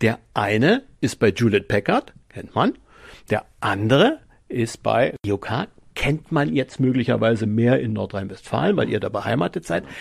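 In a dry, close sound with no echo, a man with vocal fry speaks at a fairly slow pace and medium pitch, using lively intonation. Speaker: podcast host. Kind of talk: casual chat.

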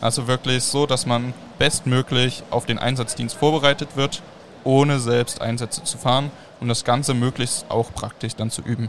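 A man with an ordinary speaking voice, medium pitch, fairly even intonation and a moderate pace. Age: young. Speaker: youth fire brigade official. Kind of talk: live podcast interview. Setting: mobile podcast studio at a trade fair.

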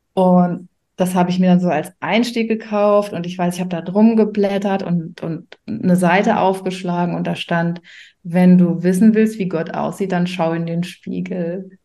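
A woman speaks in a dark, mellow tone with fairly even intonation. The background is quiet. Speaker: coach and mentor for self-employed mothers. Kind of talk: casual interview chat. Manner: frequent hesitations and fillers.

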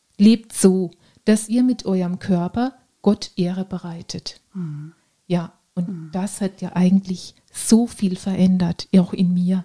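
A woman's somewhat breathy, medium-pitched voice with a dark, mellow tone, fairly even intonation, a very slow pace, long, frequent pauses and big swings in loudness, in a dry, close sound with no echo. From Baden, southwest Germany (Ortenau). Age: 40s. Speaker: fitness trainer and nurse. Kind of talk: casual interview.

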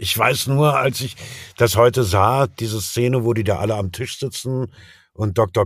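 His voice carries some breathiness. The man goes rather slowly, with normal rises and falls in pitch. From Berlin, former East Germany. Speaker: actor and voice dubbing artist. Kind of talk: interview. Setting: remote call from home. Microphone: home studio microphone, excellent quality.

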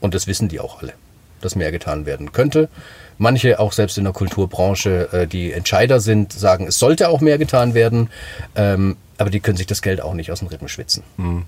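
A man's fairly low, somewhat breathy voice with lively intonation at a moderate pace. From Swabia, Germany (Sachsenheim). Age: 40s. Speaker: singer-songwriter and author. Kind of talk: casual interview chat.

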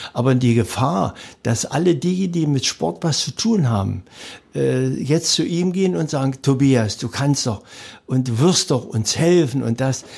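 A somewhat breathy man talks at a fairly slow pace with lively intonation. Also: medium pitch for a man, very clean recording, silent background. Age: 70s. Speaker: sports event organizer, retired teacher. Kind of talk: interview. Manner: halting with frequent fillers.

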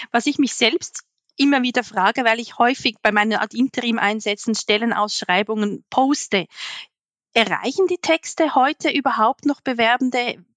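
A woman's high-pitched voice comes through in a dry, close sound with no echo. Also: ordinary pitch variation, moderate pace. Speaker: podcast host, HR professional. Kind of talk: interview.

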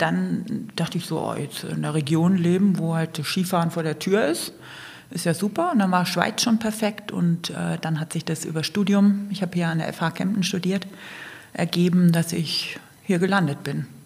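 With noticeable background noise behind her, a woman speaks at a moderate pace and with fairly even intonation. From northern Germany, Kiel. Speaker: outdoor teambuilding event manager. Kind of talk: casual interview.

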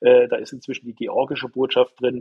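Here a man is speaking. He keeps up a fairly quick pace. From Germany, northern Hesse. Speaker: physician and member of parliament. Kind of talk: interview. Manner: halting, many repetitions and fillers.

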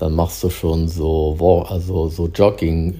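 A man's very deep, low, somewhat breathy voice with a dark, mellow tone at a very slow pace. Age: 60s. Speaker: diplomatic mission employee. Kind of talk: casual chat. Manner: halting.

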